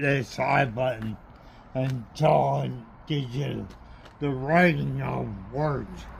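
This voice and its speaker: With long, frequent pauses, a man talks very slowly as audible room echo rings around him. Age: 60s. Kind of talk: product demonstration.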